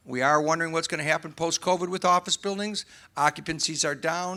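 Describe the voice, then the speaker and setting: In a very clean recording with a silent background, a man with an American accent talks loudly at a very fast pace. His voice is high-pitched with a bright, sharp tone and fairly even intonation. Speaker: real estate developer panelist. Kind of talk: panel discussion.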